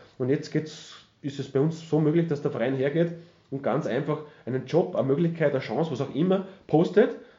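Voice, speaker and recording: A somewhat breathy man at a fairly high pitch, talking fairly quickly with ordinary pitch variation. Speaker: retired footballer and TV pundit. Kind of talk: interview.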